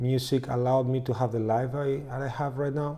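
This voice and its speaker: The man's voice sits at a medium pitch, with a dark, mellow tone. His delivery is fairly slow and monotone, the intonation flat. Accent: Spanish. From Spain. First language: Spanish. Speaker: music producer and co-author. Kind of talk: channel introduction.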